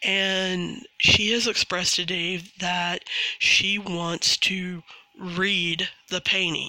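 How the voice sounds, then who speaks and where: A put-on character voice, raspy and middle-pitched, at a very slow pace. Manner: sarcastic emphasis on the word read, as if air quotes.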